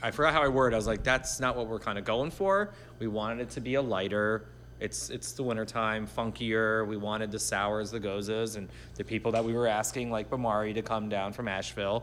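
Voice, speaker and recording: A man with an American accent and a normal speaking voice, fairly low in pitch, at a fairly quick pace with fairly even intonation. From Miami Beach, Florida. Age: 40s. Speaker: podcast host and producer. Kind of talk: casual chat.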